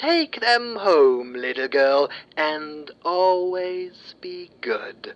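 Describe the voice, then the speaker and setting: In a put-on character voice that sounds female, the speaker holds a middle pitch and moves at a very slow pace. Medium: read story.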